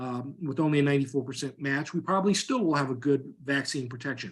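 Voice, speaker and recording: A man talks at a fairly quick pace. His pitch is fairly high, with ordinary pitch variation. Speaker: veterinary vaccine scientist. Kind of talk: technical presentation. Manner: fast.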